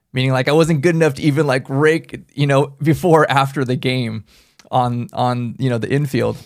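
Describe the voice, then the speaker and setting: Here is an ordinary speaking voice: a man at medium pitch with fairly even intonation, moving at a moderate pace. The recording is very clean, with a silent background. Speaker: podcast co-host, assisted living owner, triathlete. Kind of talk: casual chat.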